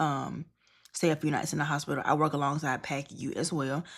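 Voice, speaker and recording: A woman speaks at a very fast pace in a very deep, low pitch with vocal fry. The recording is very clean, with a silent background. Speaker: registered nurse and vlogger. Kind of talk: casual vlog monologue. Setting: hotel room.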